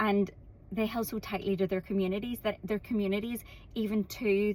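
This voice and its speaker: A woman's medium-pitched voice with an Irish accent, fairly quick in pace, flat and monotone in intonation. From Ireland. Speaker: content creator. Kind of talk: casual vlog monologue.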